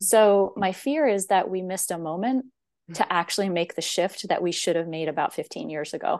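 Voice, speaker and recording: A woman's plain, everyday voice with an American accent, medium pitch, lively intonation and moderate pace against a quiet background. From US, central Pennsylvania, rural. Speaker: professor of education. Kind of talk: interview conversation.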